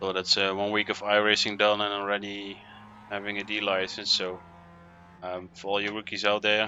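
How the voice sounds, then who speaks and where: A man with a Dutch accent, fairly low in pitch, fairly quick, with monotone, flat intonation. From Netherlands. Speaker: sim racing streamer. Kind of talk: live gaming commentary. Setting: attic at home, live stream. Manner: casual, hesitant with fillers.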